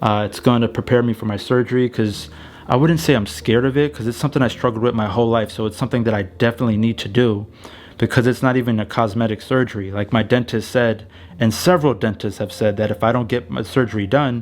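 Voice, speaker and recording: A medium-pitched man rattles off his words very fast, his pitch varying in an ordinary way. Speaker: vlogger. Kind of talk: casual vlog update. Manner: halting, many fillers.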